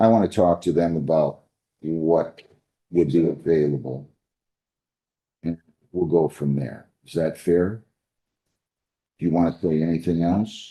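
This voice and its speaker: Soft-spoken, a man with an American accent talks at a fairly slow pace with long, frequent pauses, in a very deep, low pitch and a dark, mellow tone. His intonation is fairly even, while his loudness swings widely. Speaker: judge. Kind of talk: courtroom proceedings. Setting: courtroom.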